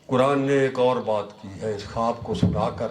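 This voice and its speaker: A man's medium-pitched voice in a room with audible echo and noticeable background noise. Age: 70s. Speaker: Sufi religious scholar. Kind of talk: sermon. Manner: animated, exhorting.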